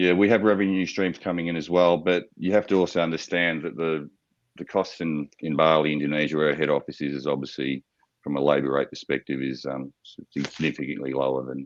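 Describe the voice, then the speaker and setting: Very deep and low in pitch, a man speaks in an Australian accent with ordinary pitch variation. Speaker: startup founder pitching to investors. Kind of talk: investor pitch Q&A. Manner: halting, with many fillers and repetitions.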